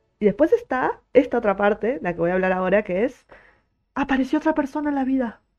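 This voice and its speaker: Against a quiet background, a woman speaks at a very fast pace with a high pitch. Her tone is animated and her intonation lively. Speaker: podcaster and streamer. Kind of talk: casual monologue. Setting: live stream.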